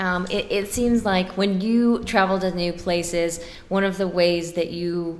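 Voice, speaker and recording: A woman with a fairly low pitch, plus audible room echo. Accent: American. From Texas, Dallas suburbs. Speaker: trade news editor. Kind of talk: casual chat. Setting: convention venue, echoey room.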